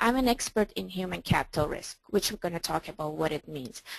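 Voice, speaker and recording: A woman at medium pitch with a non-native accent, lively intonation and a moderate pace, the sound dry and close with no echo over a quiet background. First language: not English. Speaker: trading coach. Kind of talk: webinar presentation. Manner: hesitant, with fillers.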